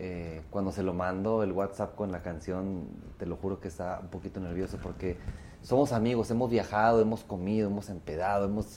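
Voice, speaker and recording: A man's dark, mellow voice, fairly low in pitch, with fairly even intonation at a moderate pace. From Mexico, Torreón, Coahuila. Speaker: singer. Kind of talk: casual chat.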